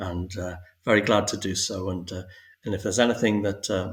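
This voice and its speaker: A somewhat breathy man at a fairly low pitch, fairly quick in pace with fairly even intonation, on a very clean recording with a silent background. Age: 60s. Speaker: spiritual guest sharing awakening story. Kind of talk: podcast interview. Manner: halting, many fillers and repetitions.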